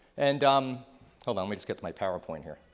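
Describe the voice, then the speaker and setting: A man talks with a New Jersey accent. His intonation is lively. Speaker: psychotherapist and keynote speaker. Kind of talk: keynote talk. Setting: stage with audience. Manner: conversational.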